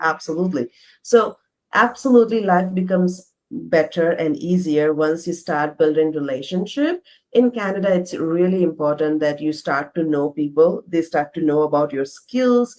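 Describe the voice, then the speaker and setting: With an Indian accent, a woman talks at a moderate pace in a fairly low pitch, with ordinary variation in her pitch. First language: not English. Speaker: interview guest, immigrant professional. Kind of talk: casual interview.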